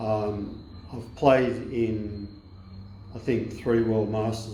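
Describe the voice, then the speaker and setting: Over noticeable background noise, a man with an Australian accent talks very slowly in a fairly low pitch and a monotone, flat intonation. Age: 70s. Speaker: masters basketball player. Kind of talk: interview answer. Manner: casual, hesitant.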